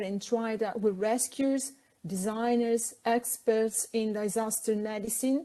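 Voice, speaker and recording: With an Italian accent, a woman speaks fairly slowly in a dark, mellow tone at a fairly high pitch. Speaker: architect and safety consultant. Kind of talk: pre-recorded presentation. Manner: formal.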